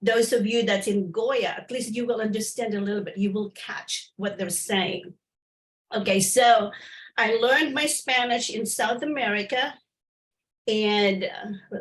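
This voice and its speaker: Speaking at a fairly slow pace, a woman uses a fairly high pitch with ordinary pitch variation. Her voice is somewhat breathy. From Philippines. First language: Filipino language. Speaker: missionary and presenter. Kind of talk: presentation on a group call. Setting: group call. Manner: halting, many fillers.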